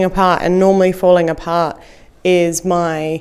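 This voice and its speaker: Speaking with an Australian accent, a woman of medium pitch talks at a fairly slow pace. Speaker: comedian. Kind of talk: podcast interview answer. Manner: casual, hesitant.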